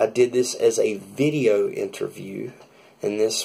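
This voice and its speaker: Moderate-paced speech from a man, in a Southern US accent. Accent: American country. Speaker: drummer. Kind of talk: casual talk to camera, vlog.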